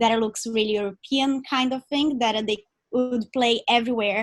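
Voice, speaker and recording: A woman speaks with a non-native accent in a fairly high pitch and fairly even intonation. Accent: foreign. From Brazil. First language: Portuguese. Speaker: actor. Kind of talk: audience question. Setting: video call.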